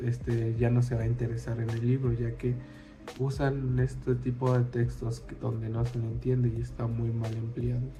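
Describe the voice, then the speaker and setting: Over music in the background, a man talks at a moderate pace and medium pitch. His intonation is monotone and flat, with audible room echo. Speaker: student. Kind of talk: class presentation. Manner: hesitant, many fillers.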